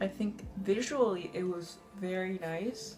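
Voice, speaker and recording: A woman speaks in a nervous tone with a non-native accent. Music plays in the background. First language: not English. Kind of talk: casual movie review to camera. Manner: nervous, frequent fillers.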